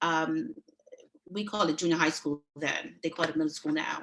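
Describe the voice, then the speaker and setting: A woman speaks in a New York accent. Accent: New York (Brooklyn) English. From New York City (Brooklyn), born in Panama. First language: Spanish. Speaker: judicial candidate. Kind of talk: candidate speech at a meeting.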